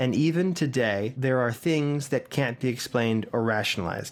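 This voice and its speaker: This is an ordinary speaking voice with ordinary pitch variation. It moves at a fairly quick pace on a very clean recording with a silent background. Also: man. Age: 20s. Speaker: podcast co-host. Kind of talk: casual chat; reading aloud.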